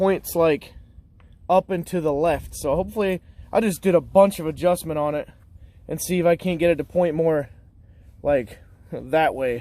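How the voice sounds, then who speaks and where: A man speaks at a high pitch and a moderate pace. His intonation stays fairly even. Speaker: car repair YouTuber. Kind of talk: casual DIY tutorial. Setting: garage. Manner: rambling, mumbling.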